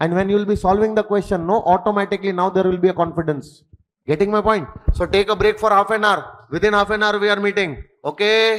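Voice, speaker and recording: A man with an Indian accent speaks at a very fast pace and a high pitch. His intonation is fairly even and his loudness very even. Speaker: accountancy and tax exam tutor. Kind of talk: lecture.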